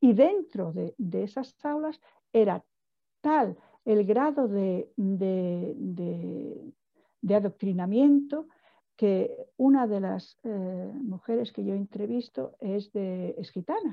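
A woman's medium-pitched voice with lively intonation at a very slow pace. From Portugal, raised in Spain. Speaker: film director. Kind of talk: interview. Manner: halting, frequent repetitions.

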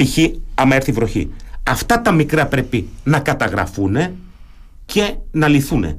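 A man with a German accent and vocal fry, at a fairly slow pace, with very wide pitch swings, very even loudness, and long, frequent pauses. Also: fairly high pitch for a man. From Germany. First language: German (speaking Greek). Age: 50s. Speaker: retired naval officer, local election candidate. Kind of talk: radio interview.

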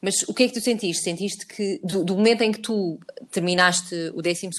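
Here is a woman with a plain, everyday voice at a medium pitch and fairly even intonation. She keeps a moderate pace in a very clean recording with a silent background. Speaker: podcast host. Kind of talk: casual chat.

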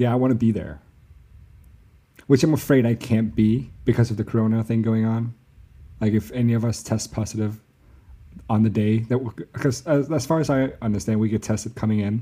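In a slight Danish accent, a man speaks fairly quickly at a medium pitch with a dark, mellow tone and ordinary pitch variation, leaving long, frequent pauses. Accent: barely Danish-sounding. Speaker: expectant partner. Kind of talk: casual chat.

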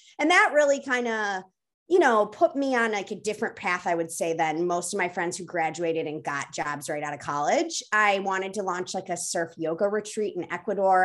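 Speaking fairly quickly with an American accent, a woman uses an unremarkable speaking voice at a medium pitch. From US Midwest. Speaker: food company co-founder. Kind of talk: casual interview.

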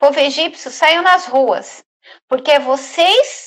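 A woman speaks with a high voice. Her pitch rises and falls in an ordinary way. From Brazil, São Paulo. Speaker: travel agent. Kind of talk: interview.

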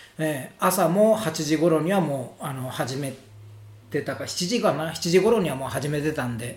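A man with a fairly high voice speaks at a moderate pace with lively intonation. Noticeable background noise and audible room echo accompany him. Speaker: Japanese teacher, school principal. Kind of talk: casual chat.

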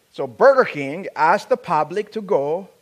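A man with an African accent is heard on a very clean recording with a silent background. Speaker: preacher. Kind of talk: sermon. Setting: church.

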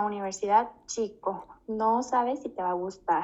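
Fairly even intonation in a plain, everyday voice. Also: woman. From Mexico, Guanajuato (Moroleón). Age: 20s. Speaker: flight attendant. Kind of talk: casual chat.

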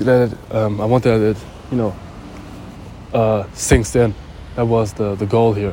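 A man speaks in a fairly low, monotone, flat voice with long, frequent pauses. Noticeable background noise is present. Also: moderate pace. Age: 20s. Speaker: podcaster. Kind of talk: motivational monologue. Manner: halting, many fillers.

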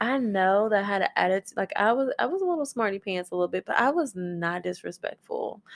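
Recorded dry and close with no echo, a woman's voice makes very wide pitch swings. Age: 30s. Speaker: podcast co-host, mother. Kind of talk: casual chat.

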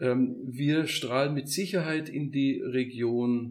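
This man talks in an ordinary speaking voice. His pitch is medium, with ordinary variation. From Upper Bavaria, village near Munich. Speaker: construction entrepreneur and community co-founder. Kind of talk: casual interview.

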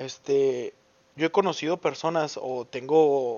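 A man with a Mexican accent and ordinary pitch variation. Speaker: podcaster. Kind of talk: casual monologue. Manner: talkative; animated.

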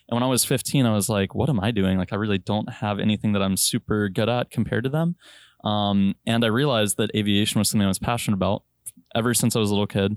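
Against a quiet background, a man talks at a very fast pace in a fairly low voice with ordinary pitch variation and very even loudness, the sound dry and close with no echo. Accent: American. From Virginia. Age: 20s. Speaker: airline pilot. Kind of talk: casual chat.

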